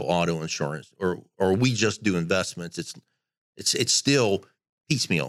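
A man's very deep, low voice at a moderate pace, on a very clean recording with a silent background. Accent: American. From rural Pennsylvania. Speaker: client of a financial advisor. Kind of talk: interview.

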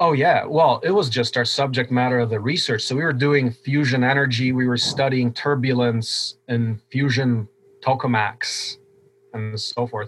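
Somewhat breathy, a man talks at a moderate pace and a medium pitch with fairly even intonation. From Poland, moved to US around age 10. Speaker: open source hardware founder, engineer. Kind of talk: interview conversation.

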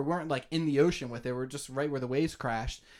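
A man with an American accent speaks very fast on a very clean recording with a silent background. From Bucks County, Pennsylvania (suburbs of Philadelphia). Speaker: filmmaker. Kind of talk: casual interview.

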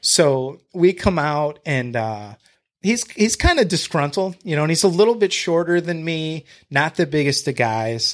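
Speaking at a fairly slow pace with lively intonation, a man with an American accent has a fairly high pitch and an unremarkable speaking voice. The recording is very clean, with a silent background. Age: 30s. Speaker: real estate agent and house flipper. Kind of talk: casual interview chat.

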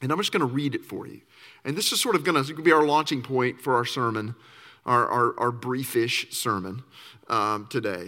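Bright and sharp in tone, a man talks at a fairly quick pace with lively intonation. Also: medium pitch for a man, very clean recording, silent background. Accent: Southern US. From Arkansas. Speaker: campus minister. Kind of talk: sermon.

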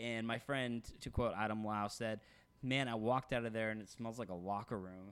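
A plain, everyday voice from a man with an American accent, at a medium pitch, with fairly even intonation and a moderate pace, on a very clean recording with a silent background. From Texas. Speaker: podcast co-host. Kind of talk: casual chat.

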